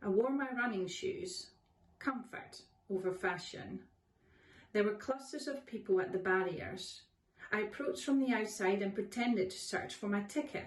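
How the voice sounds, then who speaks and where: Fairly high-pitched woman with a Dutch accent, ordinary pitch variation and a moderate pace. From Netherlands. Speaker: author. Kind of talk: reading aloud.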